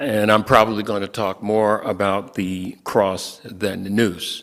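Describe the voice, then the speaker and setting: A man speaks at a fairly low pitch and a fairly slow pace. His intonation is monotone and flat. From US Midwest, Milwaukee. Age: 70s. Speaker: lawyer and guest speaker. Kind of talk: sermon-style talk. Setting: church.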